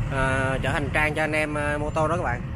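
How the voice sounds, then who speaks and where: A man's dry voice with no echo comes through noticeable background noise. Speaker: motorcycle escort rider vlogger. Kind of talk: casual vlog chat. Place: motorbike. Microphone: helmet.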